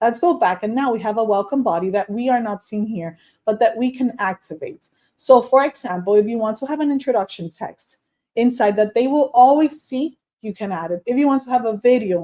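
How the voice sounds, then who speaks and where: In a Spanish accent, a woman speaks at a fairly quick pace. Her fairly high voice shows ordinary pitch variation. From Dominican Republic. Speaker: online course coach. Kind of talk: tutorial. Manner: casual.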